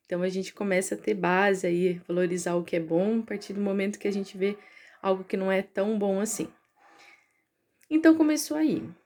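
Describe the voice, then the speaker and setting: A woman with a medium-pitched voice and lively intonation talks at a moderate pace, pausing often and at length. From Brazil, interior of São Paulo state. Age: 30s. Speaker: researcher and teacher. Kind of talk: personal story vlog. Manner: casual, conversational with fillers.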